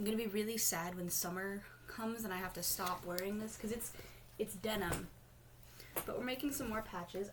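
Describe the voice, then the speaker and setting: A woman speaks at a fairly quick pace with ordinary pitch variation, yet leaves long, frequent pauses. Noticeable background noise sits behind her. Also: medium pitch for a woman. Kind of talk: casual talk to camera. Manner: rambling, hesitant.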